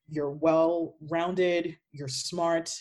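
A woman's fairly low, dark and mellow voice with monotone, flat intonation. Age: 20s. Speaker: patient sharing chronic illness story. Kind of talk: casual interview chat.

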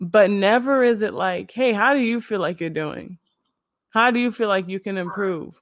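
A woman's ordinary speaking voice, medium in pitch, with an American accent. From Illinois suburbs. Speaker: model and marketer. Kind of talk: casual interview chat.

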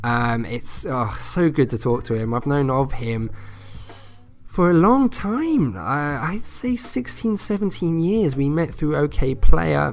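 A man with a fairly high pitch speaks at a fairly slow pace in a warm, enthusiastic tone, his pitch swinging very widely over music in the background. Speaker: podcast host. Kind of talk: radio-style podcast intro, friendly interview. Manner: warm, enthusiastic, chatty with fillers.

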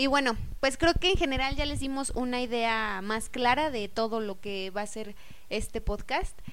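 A woman speaks at a high pitch. There is audible room echo. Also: ordinary pitch variation, moderate pace. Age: 20s. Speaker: podcast co-host. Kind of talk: casual podcast introduction.

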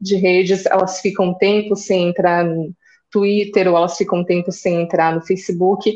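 Very even in loudness and monotone, flat in intonation, a woman with a dark, mellow tone and medium pitch speaks at a moderate pace. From Rio Grande do Sul, Caxias do Sul. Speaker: journalist, social media strategist. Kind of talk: interview.

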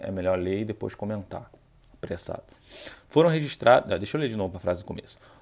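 A man's fairly low voice with a dark, mellow tone and ordinary pitch variation. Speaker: Buddhism practitioner and podcaster. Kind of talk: casual explanatory talk with reading aloud from a book. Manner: somewhat serious, not very relaxed.

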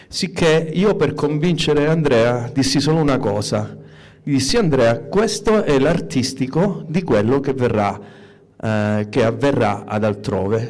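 Audible room echo follows a man who talks fairly slowly. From Calabria, Locride. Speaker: music promoter and DJ. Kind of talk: audience question.

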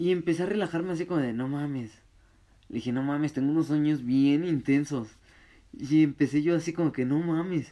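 A man speaks at a fairly quick pace with a fairly high pitch and a dark, mellow tone. His pitch varies in an ordinary way against a quiet background. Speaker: podcaster. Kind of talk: casual chat. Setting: home room, gaming. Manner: casual, laid-back.

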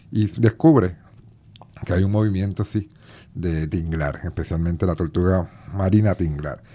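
A man with a Puerto Rican accent speaks at a fairly slow pace in a very deep, low voice with ordinary pitch variation. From Puerto Rico, Bayamón. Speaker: sea turtle conservation group director and math teacher. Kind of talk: radio interview. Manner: halting, many fillers and repetitions.

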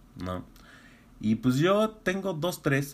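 On a very clean recording with a silent background, a man speaks in an animated tone with a Mexican accent. His pitch swings very widely. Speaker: podcast host. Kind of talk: casual monologue.

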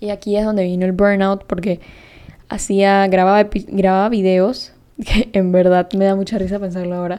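Her dark, mellow tone sits at a medium pitch as the woman speaks at a moderate pace with monotone, flat intonation. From Panama. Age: 20s. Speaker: podcast host. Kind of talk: casual monologue.

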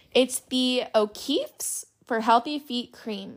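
Her tone is animated. The woman has a fairly high pitch with ordinary pitch variation. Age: 20s. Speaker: podcast host. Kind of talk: casual chat.

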